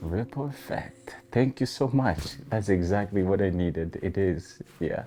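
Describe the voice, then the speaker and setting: Music plays in the background as the speaker talks with a non-native accent at a fairly slow pace. The intonation is lively, with hardly any pauses. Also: man. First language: not English. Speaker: interview guest. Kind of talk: interview. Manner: reflective, hesitant.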